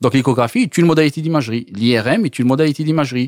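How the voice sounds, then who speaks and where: The recording is very clean, with a silent background and a dry, close sound with no echo. A man talks very fast with ordinary pitch variation. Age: 40s. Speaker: medical imaging researcher. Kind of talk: interview.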